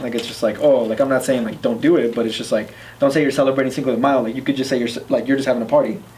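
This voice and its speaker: In a Spanish accent, a medium-pitched man talks at a very fast pace with fairly even intonation, amid audible room echo and noticeable background noise. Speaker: discussion panelist. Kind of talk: casual discussion. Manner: halting, many fillers.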